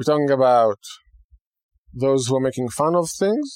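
In a very clean recording with a silent background, a man with a fairly high pitch talks with lively intonation in an Israeli accent. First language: Hebrew. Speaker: rabbi and radio host. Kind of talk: radio talk monologue.

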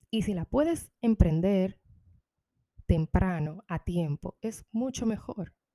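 A woman speaks very slowly at a medium pitch, her intonation lively and her tone dark and mellow. The sound is dry and close, with no echo. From Dominican Republic. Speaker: podcaster. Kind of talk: personal storytelling monologue.

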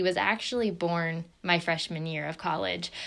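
In an American accent, a woman with a plain, everyday voice talks at a moderate pace with a fairly low pitch. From southeastern Ohio, near Marietta. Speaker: podcast co-host, fitness studio owner. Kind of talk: casual chat.

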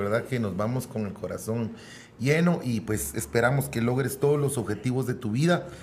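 Speaking with a Guatemalan accent, a man's somewhat breathy voice moves at a moderate pace. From Guatemala City. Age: 40s. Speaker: musician. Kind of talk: casual interview.

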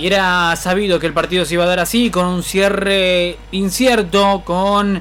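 Over noticeable background noise, the voice moves at a fairly slow pace with hardly any pauses. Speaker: sports commentator and analyst. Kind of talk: live sports commentary with analysis. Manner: animated, energetic, conversational; fluent stat-rattling delivery.

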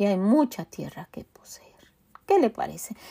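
Her tone dark and mellow, a woman speaks at a fairly slow pace with very wide pitch swings. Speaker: podcast host and Bible teacher. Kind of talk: devotional Bible teaching. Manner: halting with frequent repetitions.

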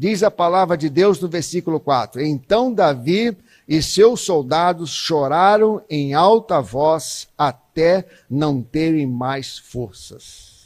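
A man with a fairly high pitch speaks very slowly with hardly any pauses. His intonation is lively. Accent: Brazilian. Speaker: guest preacher. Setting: church, evening service with congregation. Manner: animated, emphatic, repetitive for effect, rising and pleading tone.

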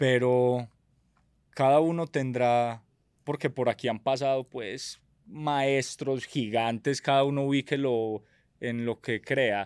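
On a very clean recording with a silent background, a man speaks at medium pitch and a very slow pace, with fairly even intonation and long, frequent pauses. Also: dry, close sound with no echo. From Medellín, Colombia. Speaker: entrepreneur and reality show winner. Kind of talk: casual interview conversation.

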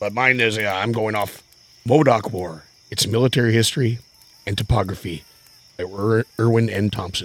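At a moderate pace with long, frequent pauses, a man speaks in a fairly low pitch with ordinary pitch variation. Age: 40s. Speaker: history podcast co-host. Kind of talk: casual chat.

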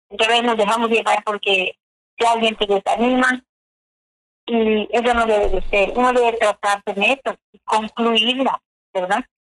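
In a dry, close sound with no echo, a woman with a fairly high pitch and fairly even intonation speaks at a fairly slow pace with very even loudness and long, frequent pauses. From Yucatán, Mexico (Chumayel). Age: 60s. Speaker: contest winner, adult learner. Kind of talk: radio interview testimony.

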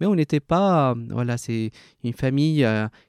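With a Spanish accent, a man speaks at a moderate pace in a dark, mellow tone with ordinary pitch variation, recorded very cleanly against a silent background. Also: dry, close sound with no echo. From Colombia. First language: Spanish (speaking French). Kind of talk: interview.

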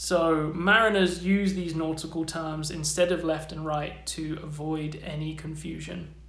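Over noticeable background noise, a man with a fairly high pitch speaks at a fairly slow pace with hardly any pauses. His intonation is monotone and flat. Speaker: podcast host. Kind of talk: scripted narration.

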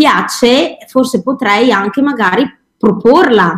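Her intonation rises and falls in a lively way. This woman's voice is high. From Verona, Veneto, Italy. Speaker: children's cooking teacher. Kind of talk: interview.

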